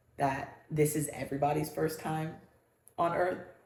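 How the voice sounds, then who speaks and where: Her voice is very deep and low for a woman, with a dark, mellow tone, a moderate pace and audible room echo. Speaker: podcast co-host. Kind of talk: casual chat. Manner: loud.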